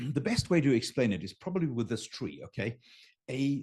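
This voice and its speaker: Over a quiet background, a man speaks with a German accent at a moderate pace. His voice is somewhat breathy, and his pitch swings very widely. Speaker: business coach on raising capital. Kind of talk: unscripted live talk to camera. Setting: home studio, live stream. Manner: animated.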